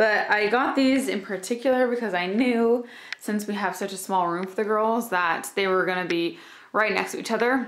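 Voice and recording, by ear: A woman speaks at a medium pitch with few pauses. Her voice carries audible room echo. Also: ordinary pitch variation, moderate pace.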